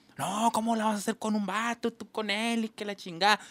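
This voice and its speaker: A man's high voice in an animated tone at a very fast pace, the sound dry and close with no echo. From Mexico, Sonora (Ures). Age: 40s. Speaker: podcast host. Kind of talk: casual chat.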